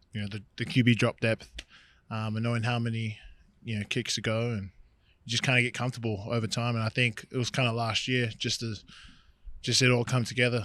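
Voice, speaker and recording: With an Australian accent, a man speaks in a bright, sharp tone at a fairly quick pace, his intonation monotone and flat, broken by long, frequent pauses. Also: medium pitch for a man, very clean recording, silent background. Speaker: pro football player. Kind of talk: casual chat.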